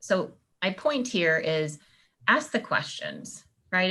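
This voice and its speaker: A woman speaks with vocal fry. Her pitch is fairly low. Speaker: university faculty member and seminar presenter. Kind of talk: online business seminar lecture. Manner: fast.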